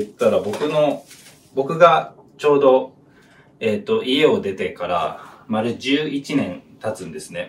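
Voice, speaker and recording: At a very slow pace, a man with a fairly high pitch makes very wide pitch swings over light background noise. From Japan. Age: 20s. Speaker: YouTuber. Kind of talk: personal story while cooking. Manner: halting, many fillers. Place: kitchen. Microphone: camera far.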